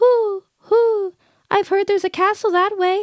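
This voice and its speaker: This put-on character voice sounds female and squeaky, pitched extremely high. Its intonation is monotone and flat. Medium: read story. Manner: hooting.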